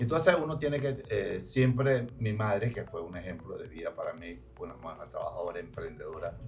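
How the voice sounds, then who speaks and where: A man talking at a fairly quick pace with hardly any pauses and big swings in loudness, plus audible room echo and music in the background. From Venezuela, Zulia state. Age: 80s+. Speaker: company founder. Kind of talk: radio interview. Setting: radio studio.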